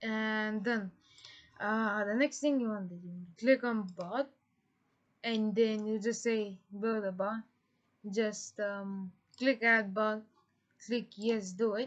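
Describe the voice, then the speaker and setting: A woman with a non-native accent and a fairly high pitch speaks at a very slow pace. Her intonation is fairly even, with long, frequent pauses. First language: not English. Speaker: tutorial creator. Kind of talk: tutorial. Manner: halting, many fillers.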